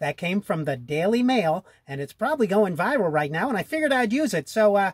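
Moving at a fairly quick pace, this cartoonish character voice sits at a middle pitch but swings very widely up and down. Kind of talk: comedy puppet sketch. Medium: puppet. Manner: flustered, hesitant.

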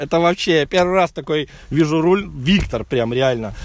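Lively intonation from a man at a moderate pace, the sound dry with no echo. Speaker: car vlogger. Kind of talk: casual car review walkthrough. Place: open country. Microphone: phone near.

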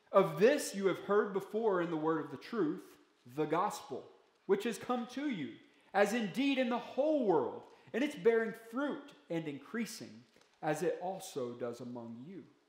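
A man's moderately paced voice with very wide pitch swings, big swings in loudness and audible room echo. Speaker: pastor. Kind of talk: sermon. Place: church. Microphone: podium.

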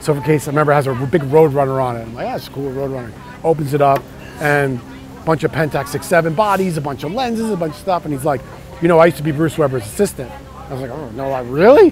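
Talking at a very fast pace in a fairly high pitch, a man shows big swings in loudness, with a dry sound with no echo and light background noise. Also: ordinary pitch variation. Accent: New York. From New York. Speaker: surf photographer. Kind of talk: interview answer. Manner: slight edge, attitude. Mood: nostalgic, enthusiastic storytelling. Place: street. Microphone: lapel.

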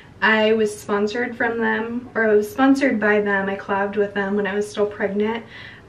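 Light noise in the background behind speech at a moderate speed. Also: woman. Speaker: parent vlogger. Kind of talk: casual vlog chat. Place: bathroom. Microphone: phone near.

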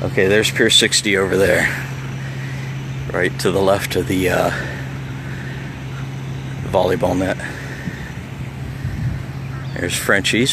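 A man at a fairly slow pace with long, frequent pauses and ordinary pitch variation, in a dry sound with no echo and noticeable background noise. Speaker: local vlogger filming the beach. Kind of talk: casual vlog chat. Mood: relaxed, amused. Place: beach. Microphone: phone near.

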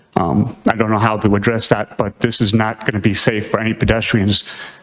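This man talks at a fairly quick pace with fairly even intonation and fairly low pitch, in an unremarkable speaking voice. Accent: American. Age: 60s. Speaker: retired police officer, public commenter. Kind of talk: public comment at a town meeting. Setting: town planning board meeting.

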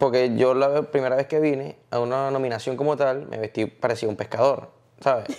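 With an ordinary speaking voice, a man of medium pitch talks at a fairly quick pace with fairly even intonation over a quiet background. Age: 30s. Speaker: salsa singer; interview guest. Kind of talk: casual chat. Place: home room. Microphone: lapel.

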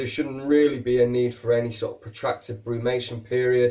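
A man with a Yorkshire accent speaks in a somewhat breathy voice with flat, monotone intonation. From Yorkshire, northern England. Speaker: reptile keeper and educational video host. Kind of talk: educational tutorial to camera. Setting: recording to camera while handling a snake. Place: shop.

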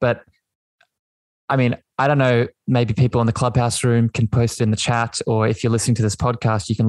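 A man talks with an Australian accent. The sound is dry and close, with no echo. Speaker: podcast host. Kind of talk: casual interview chat. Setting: video call / online audio room.

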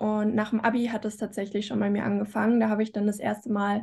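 A woman speaks fairly quickly in a fairly high pitch, somewhat breathy, with a dark, mellow tone. The background is quiet. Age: 20s. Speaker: student and YouTuber; YouTuber. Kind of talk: casual interview. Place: home room. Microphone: video call.

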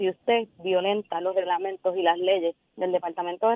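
A woman with a normal speaking voice. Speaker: government cabinet secretary. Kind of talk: radio interview. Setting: phone call.

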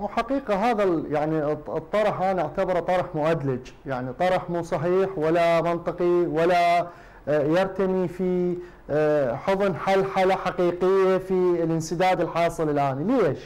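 A man speaks with an Iraqi accent at a high pitch and a very slow pace. His pitch varies in an ordinary way while his loudness stays very even. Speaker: political movement official; guest. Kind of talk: televised political debate. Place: studio. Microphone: lapel.

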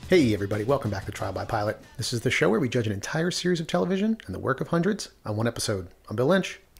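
A man talking at a very fast pace with hardly any pauses and very wide pitch swings, music in the background. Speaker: podcast host. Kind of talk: casual podcast discussion. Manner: casual, conversational. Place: home room.

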